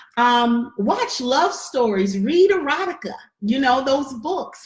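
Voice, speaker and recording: Her voice sits high for a woman and moves in very wide pitch swings. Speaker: relationship coach and online class host. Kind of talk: online workshop teaching. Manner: usually loud and charismatic; deliberately controlled, measured here.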